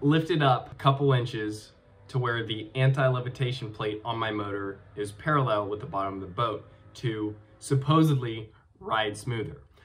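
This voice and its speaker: Faint music plays behind a man speaking at a moderate pace. His pitch varies in an ordinary way. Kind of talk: casual vlog chat. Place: home room. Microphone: webcam.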